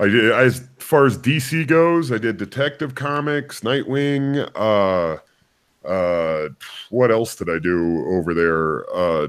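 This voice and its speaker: Here a man with an American accent speaks at a very slow pace. His medium pitch swings very widely. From US, military bases abroad. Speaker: comic book artist. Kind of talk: interview.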